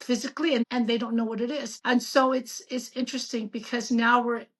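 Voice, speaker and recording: Against a quiet background, a woman speaks at a moderate pace and fairly high pitch in an ordinary speaking voice. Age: 60s. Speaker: physician. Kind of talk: casual interview.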